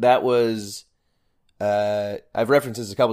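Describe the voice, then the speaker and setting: In a very clean recording with a silent background, a man speaks at a fairly low pitch. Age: 20s. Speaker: podcast co-host. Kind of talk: casual chat. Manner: animated.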